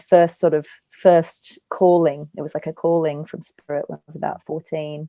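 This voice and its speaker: A woman with an Australian accent, dark and mellow in tone, monotone and flat, at a moderate pace with hardly any pauses, big swings in loudness, and a dry, close sound with no echo. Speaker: angel communicator and spiritual healer. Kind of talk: podcast interview.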